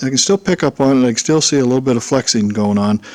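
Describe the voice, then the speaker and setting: The voice moves with ordinary pitch variation while noticeable background noise runs underneath. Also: man. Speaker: homebuilt aircraft builder. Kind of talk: casual workshop vlog. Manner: halting, many fillers.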